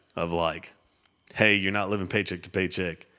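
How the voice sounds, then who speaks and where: A man with a West Texas accent speaks in a very deep, low voice with a bright, sharp tone. His intonation is monotone and flat, and the recording is very clean with a silent background. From Texas, Littlefield. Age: 30s. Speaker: custom home builder. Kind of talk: casual chat.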